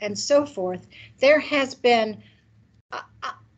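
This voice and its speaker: This woman speaks in a high pitch with an American accent. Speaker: criminology academic. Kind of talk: conference presentation.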